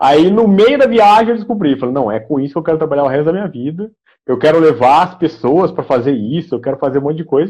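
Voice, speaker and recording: In an interior São Paulo accent, a man talks at a very fast pace with lively intonation, a fairly high pitch and a dark, mellow tone. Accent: interior São Paulo caipira R. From interior of São Paulo state, Brazil (Aguaí). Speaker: podcast host. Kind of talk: casual interview chat. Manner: halting, many fillers.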